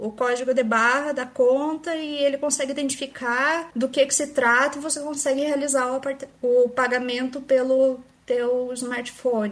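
A woman with a high-pitched voice speaks at a fairly slow pace, her intonation fairly even. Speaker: AI researcher, PhD student. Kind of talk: casual chat.

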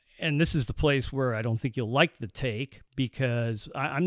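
Speaking in a normal speaking voice, a man keeps his delivery at a moderate speed. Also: dry, close sound with no echo, very clean recording, silent background. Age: 50s. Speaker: baseball fan, host's father. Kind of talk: casual chat.

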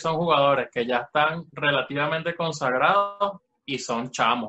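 A man talks at a moderate pace in a fairly high pitch with a bright, sharp tone. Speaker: football podcast co-host. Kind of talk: casual chat. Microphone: bad connection.

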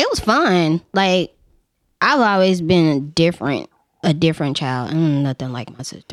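A woman with an American accent has an ordinary speaking voice, fairly low in pitch. She moves at a moderate pace with lively intonation. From Memphis, US South. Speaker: photographer. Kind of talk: casual chat. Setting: studio.

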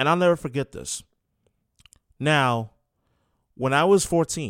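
On a very clean recording with a silent background, a man with a New York accent speaks at a moderate pace. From New York City. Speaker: sports radio host. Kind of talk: sports talk radio monologue. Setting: radio studio.

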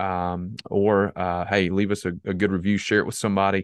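The voice has an American accent, heard in a dry, close sound with no echo and a quiet background. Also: man. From US South, South Carolina. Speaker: pastor and podcast host. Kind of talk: casual interview conversation.

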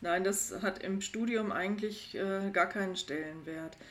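A woman speaks in a normal speaking voice at medium pitch and a moderate pace, with ordinary pitch variation. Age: 50s. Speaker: psychologist. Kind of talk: interview.

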